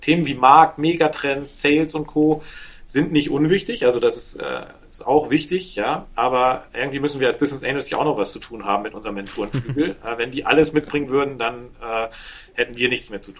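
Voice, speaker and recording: A man with a plain, everyday voice talks at a moderate pace in a medium pitch, with ordinary pitch variation and big swings in loudness. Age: 40s. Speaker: business angel and entrepreneur. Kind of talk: interview conversation.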